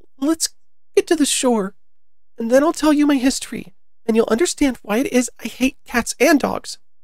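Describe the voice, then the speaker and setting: A shaky, high-pitched put-on character voice at a moderate pace. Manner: trembling, passionate.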